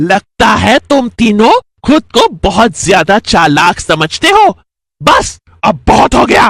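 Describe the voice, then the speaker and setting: This is a cartoonish character voice at a fairly high pitch. It moves at a fairly slow pace. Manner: cackling, taunting.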